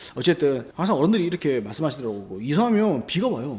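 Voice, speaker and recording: A man's somewhat breathy, fairly high voice, very fast, with very wide pitch swings. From Busan, South Korea. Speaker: YouTuber, real estate and feng shui commentator. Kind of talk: casual explanatory talk.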